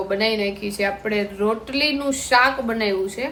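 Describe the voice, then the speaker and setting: A woman talks at a medium pitch with fairly even intonation. Noticeable background noise sits behind her. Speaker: vlogger. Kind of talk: casual vlog narration. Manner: loud.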